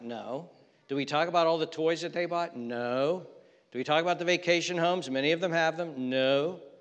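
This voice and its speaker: A man talks in a normal speaking voice, fairly high in pitch, with ordinary pitch variation. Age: 60s. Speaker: pastor. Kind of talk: sermon. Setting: church.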